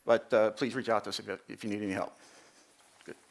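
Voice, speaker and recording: Speaking at a very fast pace, a man delivers the lines. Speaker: industry presenter at navigation conference. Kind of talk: conference presentation.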